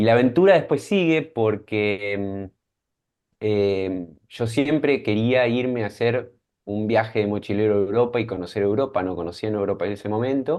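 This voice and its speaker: A man with an Argentine accent, fairly low pitch, ordinary pitch variation and a moderate pace. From Argentina, Mar del Plata. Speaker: scientist and startup founder. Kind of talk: interview.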